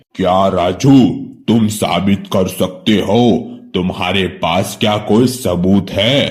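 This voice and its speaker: A man uses a cartoonish character voice at fairly low pitch with fairly even intonation. He talks at a very slow pace. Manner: authoritative.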